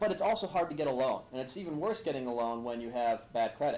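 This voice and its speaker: Talking at a very fast pace with lively intonation, a man is heard with audible room echo. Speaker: attorney and lecturer. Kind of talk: lecture. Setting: room with live audience, filmed. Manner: animated.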